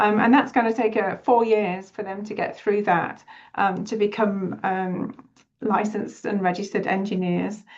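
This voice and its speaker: A woman speaks with a British accent. Her intonation is fairly even. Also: medium pitch for a woman, moderate pace. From United Kingdom. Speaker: city HR deputy director. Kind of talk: webinar presentation. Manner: hesitant, many fillers.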